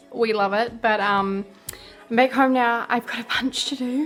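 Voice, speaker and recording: Music plays in the background behind a voice with a New Zealand accent. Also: woman. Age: young. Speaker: university student. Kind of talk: casual talk to camera.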